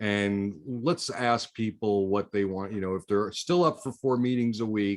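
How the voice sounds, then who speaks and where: A man's unremarkable speaking voice, fairly low in pitch, fairly slow with hardly any pauses, ordinary pitch variation, and a quiet background. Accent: American. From US South, Miami, Florida. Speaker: networking group host. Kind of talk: casual chat.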